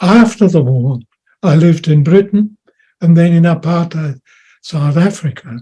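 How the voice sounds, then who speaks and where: A man talks at a moderate pace with long, frequent pauses and very even loudness. His high pitch has a dark, mellow tone and ordinary pitch variation. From Austria and Germany. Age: 90s. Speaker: World War Two veteran. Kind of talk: personal testimony.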